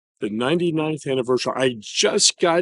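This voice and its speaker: A man speaks in a normal speaking voice, fairly high in pitch, at a moderate pace with ordinary pitch variation. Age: 60s. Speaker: public historian and pastor. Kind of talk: casual outdoor conversation.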